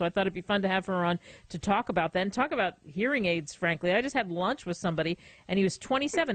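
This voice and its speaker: A plain, everyday voice speaks at a fairly quick pace with lively intonation. The background is quiet. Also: woman. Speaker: radio host. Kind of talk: radio talk show hosting.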